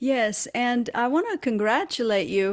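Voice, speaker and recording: A woman speaks with a Romanian accent. Her pace is very slow. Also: very clean recording, silent background. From Romania, Transylvania. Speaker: educator and podcast host. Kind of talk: interview conversation.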